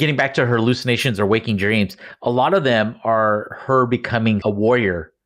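A man talks at a moderate pace with a normal speaking voice. His pitch varies in an ordinary way. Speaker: podcast host. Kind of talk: casual chat. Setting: remote recording at home.

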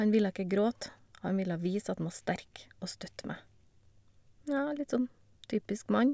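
Her voice is medium-pitched, with a dark, mellow tone and ordinary pitch variation. The woman pauses long and often. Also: moderate pace. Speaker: cancer patient. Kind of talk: testimony.

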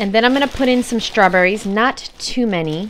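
A woman with ordinary pitch variation, over noticeable background noise. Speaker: vegan recipe vlogger. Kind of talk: casual cooking tutorial. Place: kitchen. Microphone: phone near.

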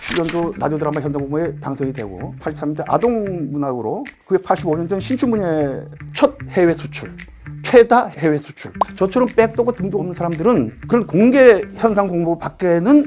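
Music plays in the background as a man talks at a fairly quick pace, his high pitch making very wide swings and his loudness rising and falling sharply. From Sokcho, South Korea. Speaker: radio drama writer. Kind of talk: interview answer.

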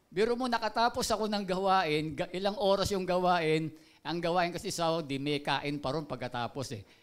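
At a fairly quick pace, a man speaks at a high pitch with ordinary pitch variation. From Philippines. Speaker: pastor. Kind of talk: sermon. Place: church. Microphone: handheld.

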